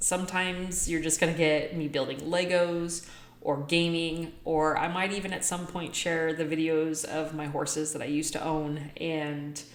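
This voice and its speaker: In a room with audible echo, a woman with a fairly low pitch speaks at a fairly slow pace in a monotone, flat intonation. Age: 40s. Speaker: vlogger and apparel shop owner. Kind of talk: casual vlog monologue. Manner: loud.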